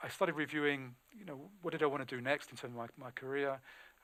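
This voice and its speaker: A man with a British accent, medium pitch, a very fast pace and fairly even intonation. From England. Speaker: recruiter. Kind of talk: webinar talk. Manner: halting.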